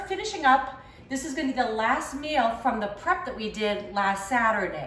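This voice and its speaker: Over noticeable background noise, a woman with a Boston accent talks at a moderate pace in a high, upbeat voice with very wide pitch swings. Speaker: home cook. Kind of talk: casual cooking talk to camera. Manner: chatty, upbeat.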